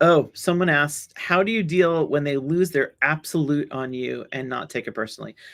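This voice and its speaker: A woman with a New York accent speaks at a very deep, low pitch. Her pace is moderate, her pitch variation ordinary, and she leaves hardly any pauses. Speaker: solutions engineer. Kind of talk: webinar talk with audience Q&A. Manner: halting, with many repetitions and fillers.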